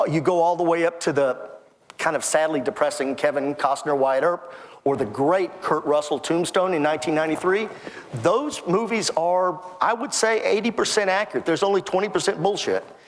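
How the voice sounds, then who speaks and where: Over noticeable background noise, a man with an American accent speaks fairly quickly in a high voice, with ordinary pitch variation and very even loudness. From Texas (Temple). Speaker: author and historian. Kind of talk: interview.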